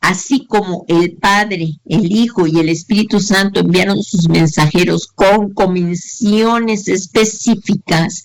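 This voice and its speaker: The pace is very slow. There are hardly any pauses. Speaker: Bible teacher. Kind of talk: lecture.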